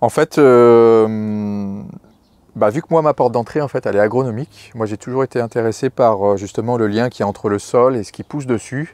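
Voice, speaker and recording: Speaking at a moderate pace with ordinary pitch variation, a man is heard in a dry recording with no echo. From Brittany, France (Morbihan, near Lorient). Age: 40s. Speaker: market gardener. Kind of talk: interview, farm portrait. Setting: on the farm. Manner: hesitant, many fillers and repetitions. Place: farm machine. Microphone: lapel.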